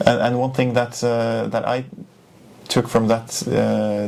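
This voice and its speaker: With a Norwegian accent, a man speaks at a fairly slow pace in a medium pitch and fairly even intonation, with noticeable background noise behind him. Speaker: journalist. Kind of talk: interview. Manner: halting.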